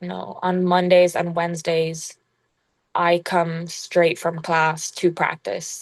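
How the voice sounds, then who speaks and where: A woman with an American accent speaks in a fairly low voice. Her intonation is monotone and flat over a quiet background. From Ireland, Kilkenny. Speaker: college basketball player. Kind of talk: podcast interview.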